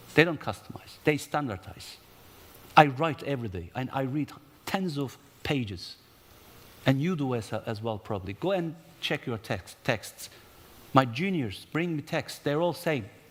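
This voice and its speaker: A man's fairly high, animated voice in a Turkish accent, with lively intonation, a moderate pace, and long, frequent pauses. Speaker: conference panelist, investment promotion professional. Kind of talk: conference panel talk. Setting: conference stage with audience. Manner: animated, with hesitations and self-corrections.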